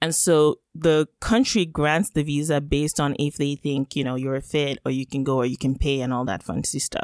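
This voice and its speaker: A woman with a Yoruba accent and a very deep, low pitch speaks at a moderate pace with ordinary pitch variation and hardly any pauses, recorded dry and close with no echo. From Nigeria (Lagos). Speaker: economist and podcaster. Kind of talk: interview conversation. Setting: remote call.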